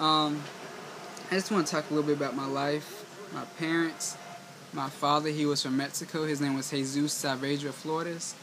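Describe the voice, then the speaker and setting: With an American accent, a man talks at a moderate pace in monotone, flat intonation, amid audible room echo and noticeable background noise. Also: fairly high pitch for a man. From US South, eastern North Carolina. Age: 20s. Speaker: vlogger. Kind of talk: personal vlog monologue. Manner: halting.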